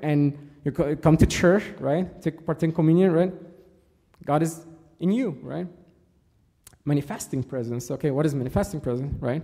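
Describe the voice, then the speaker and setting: A man's fairly high voice with a dark, mellow tone, ordinary pitch variation, a moderate pace and long, frequent pauses against a quiet background. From Egypt. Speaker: church servant giving a talk. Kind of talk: sermon. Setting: church. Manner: halting, many fillers. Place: church.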